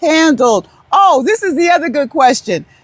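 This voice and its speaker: In a loud voice with an American accent, someone speaks at a moderate pace. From New York. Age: 70s. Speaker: retired vlogger. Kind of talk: casual vlog talk. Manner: rambling, halting.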